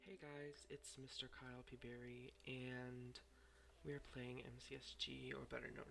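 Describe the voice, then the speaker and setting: A quiet man at a moderate pace, with audible room echo and noticeable background noise. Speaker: gaming youtuber. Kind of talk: live gameplay commentary.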